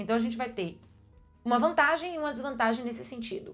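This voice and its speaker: A woman with a fairly high voice speaks with lively intonation and an animated tone. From Brazil. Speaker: vlogger. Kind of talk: casual advice vlog.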